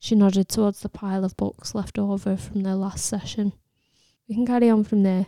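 Her voice has a dark, mellow tone at medium pitch as this woman speaks at a moderate pace in a monotone, flat intonation, with a dry, close sound, no echo, and a very clean recording over a silent background. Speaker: audiobook narrator. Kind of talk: literary audiobook reading, narrated prose. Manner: steady, measured storytelling delivery.

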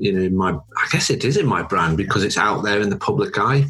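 A man talks at a fairly quick pace with a fairly low pitch. There is noticeable background noise. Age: 40s. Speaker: podcast host, brand designer. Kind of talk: casual interview; scripted intro and outro.

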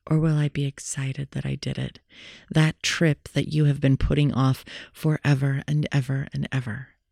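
In a very clean recording with a silent background, a woman speaks at a moderate pace in a very deep, low pitch with a dark, mellow tone and monotone, flat intonation. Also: dry, close sound with no echo. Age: 40s. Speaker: meditation podcast host. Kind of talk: casual monologue.

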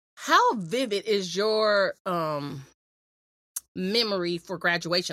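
A woman with an American accent speaks at a medium pitch with lively intonation. She has an unremarkable speaking voice. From US West Coast, San Diego. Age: 40s. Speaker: podcast co-host. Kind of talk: casual chat.

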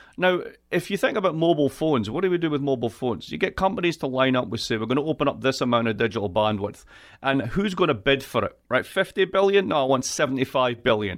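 A man with a Scottish accent talks at a very fast pace, his pitch swinging very widely. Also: medium pitch for a man. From Scotland. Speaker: political economy professor. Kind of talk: interview. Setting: video call. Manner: animated.

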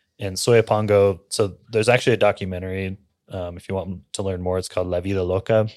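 Very deep, low male voice with an American accent, monotone, flat intonation and a fairly quick pace, on a very clean recording with a silent background. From Central California.

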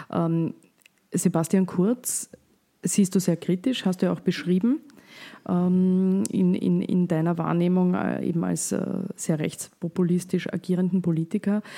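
A woman speaks at a very slow pace in a fairly low pitch, her loudness very even, her intonation fairly even and her tone dark and mellow, on a very clean recording with a silent background. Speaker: podcast host, journalist. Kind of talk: interview.

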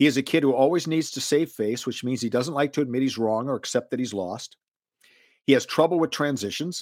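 This man speaks with an American accent in a plain, everyday voice, at a medium pitch and a fairly quick pace. His pitch varies in an ordinary way, and the sound is dry and close with no echo. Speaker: podcast host. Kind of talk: casual interview answering listener questions. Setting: video call.

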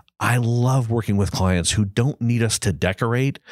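A voice with a Midwestern American accent and ordinary pitch variation, dry and close with no echo, on a very clean recording with a silent background. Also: man. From US Midwest, Granite City, Illinois near St. Louis. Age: 60s. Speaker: design agency principal. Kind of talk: casual interview. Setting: studio, in person across the table.

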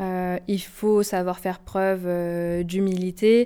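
In a very clean recording with a silent background, a woman speaks at medium pitch. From France, Haute-Savoie. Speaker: management consultant. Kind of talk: interview. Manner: hesitant, with filler sounds.

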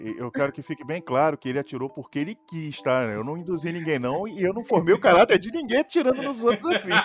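Music plays behind a man speaking at a very fast pace with hardly any pauses, his pitch high and swinging very widely. The sound is dry and close, with no echo. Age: 30s. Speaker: streamer. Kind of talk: casual chat.

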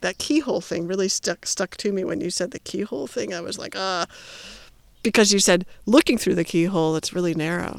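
A woman with an American accent speaks at a fairly quick pace in a medium pitch with ordinary variation, the sound dry and close with no echo. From US Midwest. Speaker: scientist. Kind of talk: casual chat. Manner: animated.

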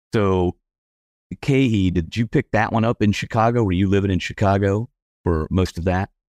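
An unremarkable speaking voice moves at a moderate pace with ordinary pitch variation and very even loudness, recorded with a dry, close sound, no echo and a quiet background. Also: man, fairly low pitch for a man. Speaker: podcast host. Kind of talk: interview.

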